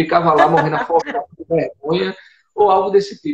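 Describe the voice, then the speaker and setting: A Paraíba accent with ordinary pitch variation, at a moderate pace. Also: man. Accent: Paraíba northeastern Brazilian. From Brazil, Paraíba (Northeast). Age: 20s. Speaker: missionary. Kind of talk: testimony in a live interview. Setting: online live broadcast.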